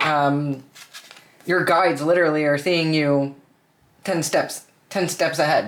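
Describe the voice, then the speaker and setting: This speaker talks at a fairly slow pace with long, frequent pauses. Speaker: tarot reader. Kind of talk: tarot reading. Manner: casual, halting with many fillers.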